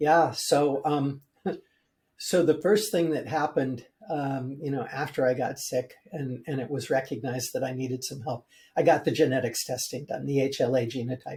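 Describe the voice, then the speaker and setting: A somewhat breathy man with a fairly high pitch talks at a moderate pace with ordinary pitch variation. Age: 70s. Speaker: building biologist and mold remediation expert. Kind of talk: interview. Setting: podcast interview. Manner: halting, many fillers.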